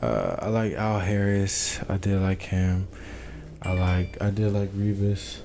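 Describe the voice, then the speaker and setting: At a very slow pace, a man with a fairly low pitch speaks in a monotone, flat intonation with very even loudness over noticeable background noise. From Tucson, Arizona. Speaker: college football player. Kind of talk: casual interview. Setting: small apartment studio. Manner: halting, many fillers.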